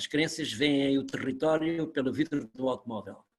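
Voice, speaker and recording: A fairly high-pitched man at a fairly slow pace. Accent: European Portuguese. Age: 60s. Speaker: university academic. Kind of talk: webinar talk.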